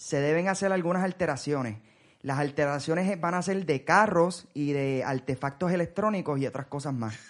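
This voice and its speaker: A man with a normal speaking voice talks at a moderate pace and a fairly high pitch, with ordinary pitch variation. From Puerto Rico. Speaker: podcast host. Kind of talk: casual chat.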